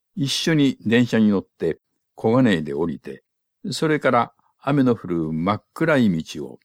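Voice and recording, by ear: With the background quiet, a person reads aloud in a natural voice.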